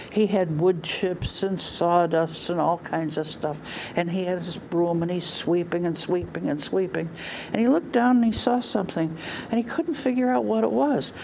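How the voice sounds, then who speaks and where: A fairly low-pitched woman at a moderate pace, with very wide pitch swings and noticeable background noise. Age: 80s+. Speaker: storyteller. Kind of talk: storytelling.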